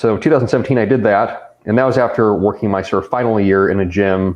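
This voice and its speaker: An unremarkable speaking voice, a man with an American accent talks at a fairly low pitch with ordinary pitch variation. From US West Coast, Riverside County, California. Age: 30s. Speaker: personal trainer and fitness writer. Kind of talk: podcast interview. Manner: casual, filler-heavy.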